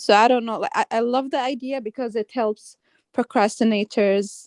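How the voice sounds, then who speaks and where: A woman speaks with a slight Arabic accent at a fairly high pitch and moderate pace. Her intonation is fairly even, and the sound is dry and close with no echo. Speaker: graphic designer. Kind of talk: casual chat. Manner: halting.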